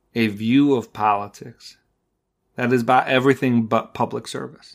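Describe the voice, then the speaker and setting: Fairly even in intonation, a normal speaking voice comes through a very clean recording with a silent background. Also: man. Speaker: podcast host. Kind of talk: podcast monologue and interview.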